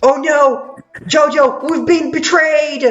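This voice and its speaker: A man puts on a character voice at an extremely high pitch and a fairly slow pace. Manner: melodramatic, mock alarmed.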